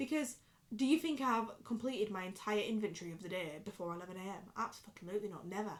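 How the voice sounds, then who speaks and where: A woman with a Yorkshire accent, animated in tone, fairly high-pitched, very fast, with lively intonation and big swings in loudness. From Yorkshire, northern England. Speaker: vlogger. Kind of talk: casual chat. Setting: bedroom. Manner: drops words, clipped pronunciation.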